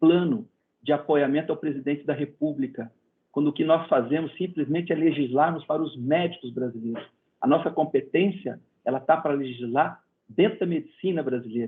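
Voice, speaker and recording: Speaking in a plain, everyday voice, a man talks at a fairly high pitch and fairly quick pace, with ordinary pitch variation. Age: 60s. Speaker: medical council president and physician. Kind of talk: interview.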